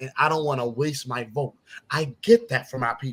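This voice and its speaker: Ordinary pitch variation marks a man speaking with an American accent. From South Carolina Lowcountry, Jasper County (Gullah Geechee). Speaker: political candidate. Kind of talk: interview. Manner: animated.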